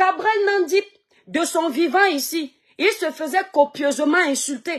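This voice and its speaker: Her pitch is extremely high and her intonation lively. The woman talks at a very slow pace over a quiet background. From Cameroon, Kribi/Douala; Cameroon. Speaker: social media live streamer and online seller; social commentator. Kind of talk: live stream monologue. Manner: animated. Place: home room. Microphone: phone near.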